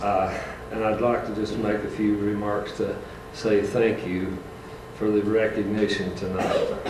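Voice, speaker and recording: Speaking at a fairly slow pace, a man uses a fairly low pitch. There is audible room echo and noticeable background noise. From Tennessee mountains. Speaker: retired school bus driver. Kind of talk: reading aloud a prepared speech. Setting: school board meeting.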